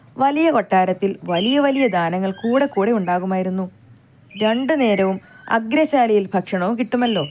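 A woman with an unremarkable speaking voice talks at a fairly high pitch, with lively intonation and very even loudness. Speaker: storyteller. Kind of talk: reading aloud.

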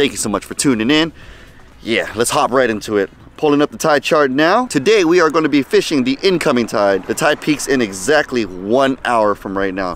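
The intonation is lively. This man moves at a fairly quick pace. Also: dry sound with no echo. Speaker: fishing vlogger. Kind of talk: casual vlog chat. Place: waterside. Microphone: phone near.

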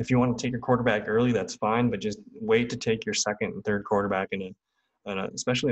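Against a quiet background, a man with an American accent talks very fast in a monotone, flat delivery. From Wisconsin (Green Bay); Wisconsin. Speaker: fantasy football YouTuber. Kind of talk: live draft commentary. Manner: casual, filler-heavy. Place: home room. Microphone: studio mic.

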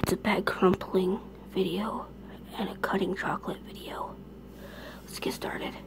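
Whispering in a playful tone, the speaker leaves long, frequent pauses. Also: moderate pace. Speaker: ASMR maker. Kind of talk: asmr whisper. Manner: playful, coaxing, directly addressing viewers. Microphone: phone near.

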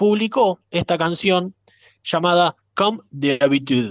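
Speech in a Rioplatense accent comes at a fairly slow pace. The background is quiet and the sound is dry with no echo. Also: man. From Argentina. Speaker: radio host. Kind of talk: storytelling. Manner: conversational. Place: studio.

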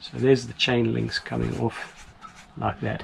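A man's fairly slow speech with vocal fry over light background noise. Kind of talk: tutorial. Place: boat. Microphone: camera far.

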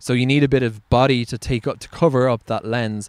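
The background is quiet and the pace fairly quick. The sound is dry, with no echo. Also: man. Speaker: video creator. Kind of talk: casual vlog chat. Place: open country. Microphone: handheld.

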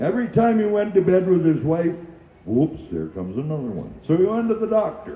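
The voice swings very widely in pitch, and room echo is audible. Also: man. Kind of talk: stage joke telling. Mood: jovial, joking. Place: hall. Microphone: pa.

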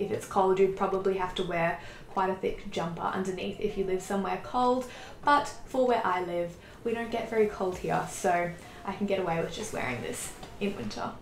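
A woman's voice at a moderate pace, with ordinary pitch variation, audible room echo and light background noise. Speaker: fashion vlogger. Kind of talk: casual haul review chat. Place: home room.

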